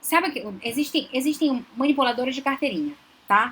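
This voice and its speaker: A woman talks over noticeable background noise. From Belém do Pará, northern Brazil. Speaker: psychologist, relationship advisor. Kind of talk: live stream Q&A talk. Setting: live stream.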